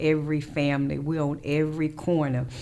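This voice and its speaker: Noticeable background noise runs under this recording. A woman talks with a very deep, low pitch. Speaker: radio host and real estate broker. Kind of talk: radio show monologue. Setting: radio studio. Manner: fast.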